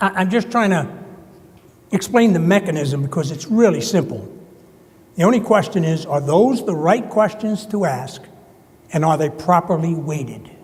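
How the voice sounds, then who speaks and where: A high-pitched man with a New Jersey accent and lively intonation, at a moderate pace with long, frequent pauses, over noticeable background noise. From US Northeast, New Jersey. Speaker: conference presenter. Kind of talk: conference presentation.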